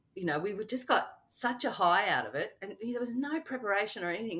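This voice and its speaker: A woman talks at a very fast pace with hardly any pauses, her medium-pitched voice bright and sharp in tone, with an Australian accent. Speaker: travel podcaster, retiree. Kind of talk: casual interview chat.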